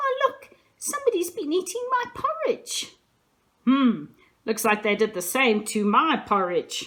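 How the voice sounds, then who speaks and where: A woman's put-on character voice, high-pitched and fairly slow. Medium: read story.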